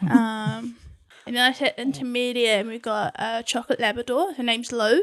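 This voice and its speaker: A woman with a New Zealand accent talks at a moderate pace in a high pitch with ordinary pitch variation. Her loudness swings widely. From New Zealand, West Auckland. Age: 20s. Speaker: podcast guest. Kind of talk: casual chat.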